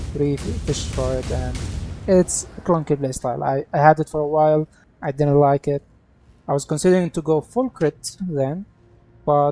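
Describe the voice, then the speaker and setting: The speaker talks at a moderate pace. They speak with a non-native accent. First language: not English. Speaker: video game content creator. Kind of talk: gameplay tutorial. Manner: halting.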